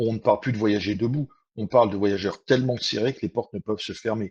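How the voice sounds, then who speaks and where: Recorded dry and close with no echo against a quiet background, a man speaks at a fairly low pitch in a plain, everyday voice. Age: 60s. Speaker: train commuter. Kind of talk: testimony.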